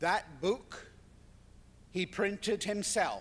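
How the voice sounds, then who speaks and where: A man speaks in a Scottish accent. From Scotland. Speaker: surgeon. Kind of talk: lecture.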